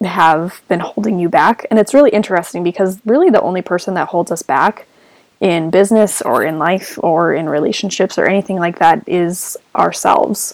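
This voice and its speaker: In a plain, everyday voice, a woman speaks at medium pitch and a moderate pace, with ordinary pitch variation. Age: 20s. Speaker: podcast co-host. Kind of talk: casual chat.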